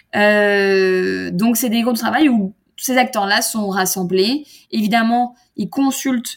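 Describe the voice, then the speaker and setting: Speaking in an unremarkable speaking voice, a woman keeps a medium pitch with ordinary pitch variation. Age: 30s. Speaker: startup founder and industry association president. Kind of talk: interview.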